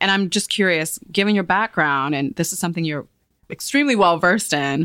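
In a very clean recording with a silent background and a dry, close sound with no echo, a woman with a normal speaking voice speaks at a fairly low pitch with ordinary pitch variation. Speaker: podcast host and magazine editor. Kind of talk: casual interview. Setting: studio.

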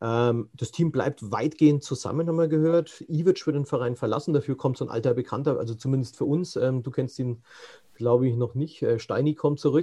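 At a fairly quick pace, a man talks in a dark, mellow, somewhat breathy tone, fairly high in pitch, with fairly even intonation. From Franconia. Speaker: podcast host. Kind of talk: interview. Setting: video call.

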